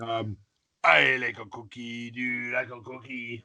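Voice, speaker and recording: A man uses a put-on, gravelly character voice at a medium pitch and a moderate pace. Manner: silly.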